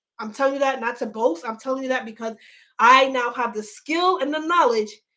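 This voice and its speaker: With an animated tone, a woman speaks at a high pitch and moderate pace, her voice bright and sharp with ordinary pitch variation. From New York. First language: not English. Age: 30s. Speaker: online business coach. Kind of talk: livestream sales pitch. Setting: livestream.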